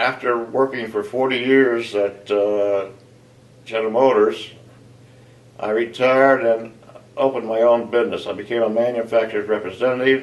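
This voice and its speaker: A man talks at a moderate pace in a medium pitch with monotone, flat intonation. He leaves long, frequent pauses. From US Midwest, southeastern Ohio. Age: 70s. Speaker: retired engineer. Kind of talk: personal interview. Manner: halting, many fillers.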